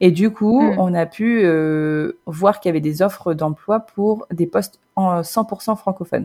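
Her tone is dark and mellow, with a fairly low pitch. This woman's intonation is lively. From Normandy, France. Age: 30s. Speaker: expat mother. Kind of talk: interview testimony.

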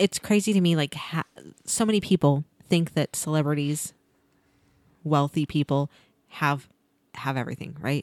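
A woman's very deep, low voice with ordinary pitch variation, moderate pace and long, frequent pauses, in a very clean, dry, close recording with no echo and a silent background. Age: 40s. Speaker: podcast co-host, teacher. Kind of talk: casual chat.

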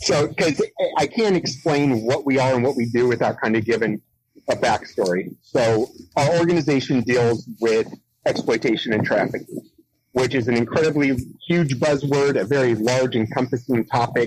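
A man with an American accent uses a normal speaking voice at a medium pitch and moderate pace, with ordinary pitch variation and very even loudness. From San Diego, California. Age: 40s. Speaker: nonprofit founder, Navy veteran. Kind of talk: interview.

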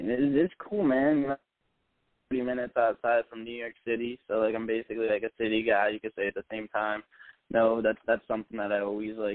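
An unremarkable speaking voice in an American accent. The pace is fairly quick and the intonation fairly even. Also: man, medium pitch for a man. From northern New Jersey. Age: 20s. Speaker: hip hop artist. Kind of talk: casual interview chat.

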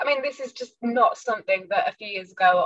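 A woman with a northern English accent talks at a fairly quick pace. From northern England / Midlands, UK. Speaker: fantasy author. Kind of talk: interview.

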